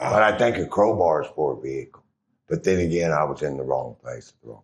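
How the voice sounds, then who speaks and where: A man with an American accent, fairly quick pace and big swings in loudness. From Oklahoma, US. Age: 60s. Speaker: person with drug addiction. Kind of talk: interview testimony.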